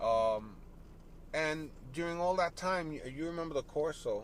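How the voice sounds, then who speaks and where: Noticeable background noise sits behind a man with an American accent and a fairly high pitch. He talks at a fairly slow pace with lively intonation. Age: 60s. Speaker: salsa bassist. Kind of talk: casual interview. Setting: in a parked car.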